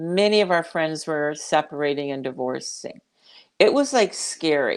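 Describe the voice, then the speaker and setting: Over a quiet background, a woman talks with lively intonation. She has an ordinary speaking voice, fairly low in pitch. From Canada. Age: 60s. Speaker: midlife coach. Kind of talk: interview. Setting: livestreamed video call.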